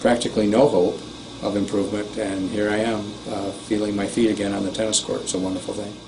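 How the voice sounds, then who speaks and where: A man speaks with a fairly low pitch. Noticeable background noise and audible room echo fill the recording. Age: 60s. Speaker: patient giving testimonial, tennis coach. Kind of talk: testimony. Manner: halting.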